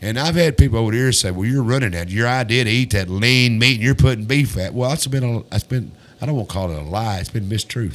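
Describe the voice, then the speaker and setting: A man speaks at a very fast pace with hardly any pauses. His pitch variation is ordinary. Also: medium pitch for a man. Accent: Tennessee. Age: 60s. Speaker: talk show host. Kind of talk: casual interview chat. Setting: studio. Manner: halting, repetitive.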